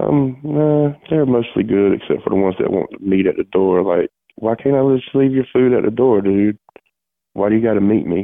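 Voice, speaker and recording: Here a man has an ordinary speaking voice, medium in pitch, with ordinary pitch variation and a moderate pace. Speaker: prank call recipient and listener. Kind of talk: casual phone chat. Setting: phone call.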